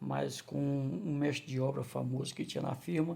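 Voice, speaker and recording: The man's voice comes across as somewhat breathy. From Ceará, Brazil (Crateús). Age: 60s. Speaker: vlogger, former construction worker and waiter. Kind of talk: personal testimony vlog. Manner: halting, with false starts.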